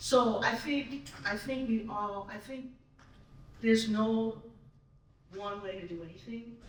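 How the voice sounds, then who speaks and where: A fairly slow pace over noticeable background noise. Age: 60s. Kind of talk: panel discussion.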